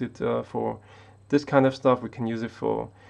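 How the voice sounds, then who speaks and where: In a German accent, a man speaks at a moderate pace and medium pitch with monotone, flat intonation over a quiet background. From Austria. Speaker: tech YouTuber. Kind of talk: casual live stream monologue. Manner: halting, many fillers and repetitions.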